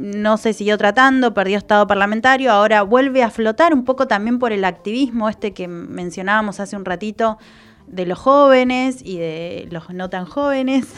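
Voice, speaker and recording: A woman with a fairly high pitch and ordinary pitch variation, at a moderate pace, with big swings in loudness. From Argentina, Chubut (Trelew, Patagonia). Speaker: environmental communication specialist, senate adviser. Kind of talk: radio interview. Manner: hesitant, many fillers.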